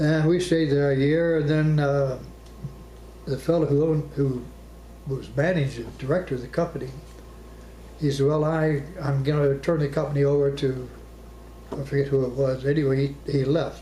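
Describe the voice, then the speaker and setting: A man with an American accent speaks at a moderate pace in a monotone, flat delivery, his tone dark and mellow. His pitch sits fairly high for a man, his voice somewhat breathy, with long, frequent pauses. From Arizona. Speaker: war veteran. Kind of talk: interview answer.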